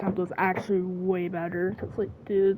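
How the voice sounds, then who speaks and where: A woman speaks at a moderate pace in an animated tone. Music plays in the background. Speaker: gaming streamer. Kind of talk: gameplay commentary.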